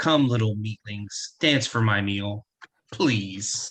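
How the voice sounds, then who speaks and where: A man puts on a booming, raspy character voice, fairly low in pitch, and speaks at a very slow pace. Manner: menacing, taunting.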